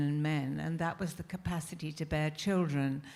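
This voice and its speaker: This voice, in a British accent, has a dark, mellow tone. It moves at a moderate pace with fairly even intonation. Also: woman. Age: 80s+. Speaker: historian panelist. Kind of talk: panel discussion.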